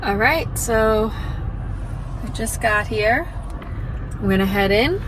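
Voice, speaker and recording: Over music in the background, a woman's voice carries audible room echo. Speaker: book vlogger. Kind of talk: casual vlog. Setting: bookstore.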